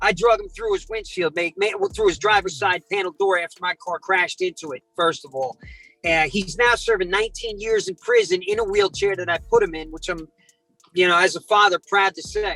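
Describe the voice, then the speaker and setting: A raised, projected voice with a New Jersey accent, fairly quick pace, and ordinary pitch variation, in a dry, close sound with no echo and music in the background. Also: man, high pitch for a man. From South Jersey. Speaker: predator catcher and prank caller. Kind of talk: interview storytelling. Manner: animated.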